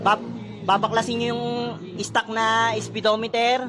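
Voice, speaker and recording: Shouting in a raised, projected voice, a man speaks at a fairly slow pace and a high pitch over noticeable background noise. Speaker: motorcycle DIY vlogger. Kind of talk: tutorial. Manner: loud, nearly shouting; casual, halting.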